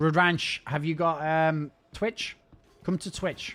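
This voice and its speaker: A fairly high-pitched man's voice with a Scouse accent and fairly even intonation. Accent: Scouse-leaning northern English. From northern England, Wirral. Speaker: video game streamer. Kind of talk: live stream chat.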